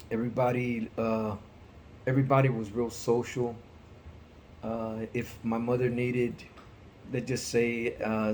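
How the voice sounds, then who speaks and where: Long, frequent pauses break up a man's monotone, flat delivery at a fairly slow pace. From Texas, Houston. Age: 60s. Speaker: interviewee, parent of student. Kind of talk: interview.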